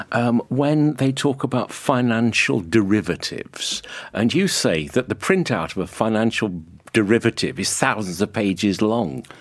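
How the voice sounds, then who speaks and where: This man has an ordinary speaking voice, a medium pitch and lively intonation, and he speaks at a moderate pace. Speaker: podcast host and interviewer. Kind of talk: radio-style interview presenter.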